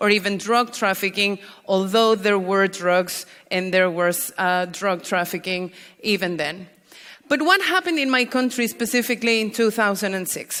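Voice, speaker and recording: The tone is bright and sharp, and the intonation stays fairly even. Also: woman. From Mexico, Mexico City. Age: 30s. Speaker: drug policy activist. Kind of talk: conference talk.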